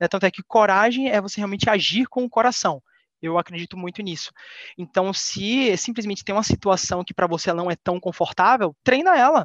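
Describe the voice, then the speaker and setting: With a São Paulo accent, a man speaks at a fairly quick pace in a high pitch, with ordinary pitch variation and big swings in loudness, the sound dry and close with no echo against a quiet background. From Bahia, Salvador. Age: 20s. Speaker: trainee engineer. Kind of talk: casual interview.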